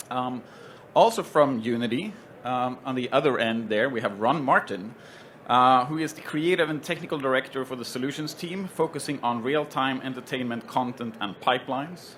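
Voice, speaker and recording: With a Swedish accent, a man talks at a medium pitch with ordinary pitch variation. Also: moderate pace. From Sweden. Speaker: panel moderator, tech company solutions head. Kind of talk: panel introduction at trade show. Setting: stage with live audience at trade show. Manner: hesitant, many fillers.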